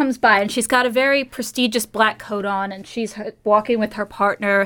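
A woman with a fairly high pitch speaks at a moderate pace in an American accent, a plain, everyday voice. The recording is very clean, with a silent background. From United States. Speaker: PhD student in museum studies. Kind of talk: casual chat.

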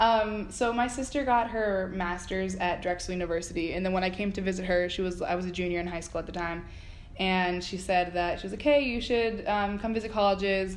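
With an American accent, a woman talks at a fairly quick pace with ordinary pitch variation and audible room echo. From South Florida, Miramar. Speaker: student TV producer and director. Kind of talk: casual interview. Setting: college building. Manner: hesitant with many fillers.

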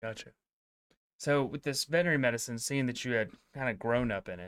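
A man speaking at a fairly quick pace. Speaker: vet school faculty interviewer. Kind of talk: casual interview.

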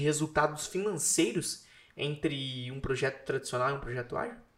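Here is a man with a normal speaking voice. The rise and fall of his pitch is ordinary. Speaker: podcast host. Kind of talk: interview, casual and polite. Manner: warm, friendly, chatty.

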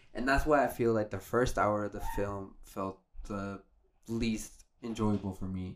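A man with an ordinary speaking voice talks at a fairly slow pace, his pitch fairly low and his intonation fairly even. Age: 20s. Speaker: podcast guest. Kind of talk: casual chat.

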